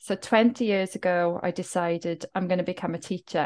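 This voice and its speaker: Against a quiet background, someone with a Welsh accent speaks at a moderate pace with fairly even intonation. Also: woman. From South Wales, Welsh Valleys. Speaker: writer and wellbeing coach. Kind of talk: interview.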